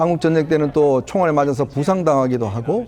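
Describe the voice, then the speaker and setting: A man talks at a moderate pace. His voice sits at a fairly high pitch. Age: 50s. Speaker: political commentator. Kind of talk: TV panel discussion. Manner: hesitant, many fillers.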